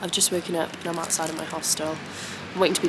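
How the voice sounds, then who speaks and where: The speech moves at a very fast pace. Music plays in the background. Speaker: travel vlogger. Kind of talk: casual vlog narration. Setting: outdoors; in a hostel. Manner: soft-spoken.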